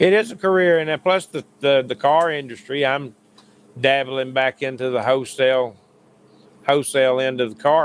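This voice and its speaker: A man with a Southern US accent, medium pitch and ordinary pitch variation. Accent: Southern US (Georgia). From US South, Paulding County, Georgia. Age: 60s. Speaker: sim racing driver and hubcap business owner. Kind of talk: casual chat.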